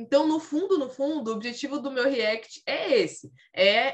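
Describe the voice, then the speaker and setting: A woman with a normal speaking voice, lively intonation and a fairly slow pace. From São Paulo, Brazil (Carapicuíba, west zone). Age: 20s. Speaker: personal trainer and running coach. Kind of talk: podcast interview.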